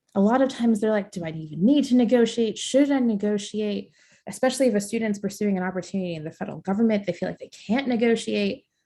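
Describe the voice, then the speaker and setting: Talking at a very fast pace, a woman has a medium pitch and a dark, mellow tone that is somewhat breathy. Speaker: career coach. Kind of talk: webinar presentation.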